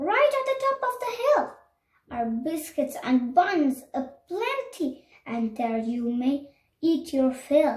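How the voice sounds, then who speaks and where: A woman's put-on character voice, high-pitched and at a fairly slow pace. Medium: read story.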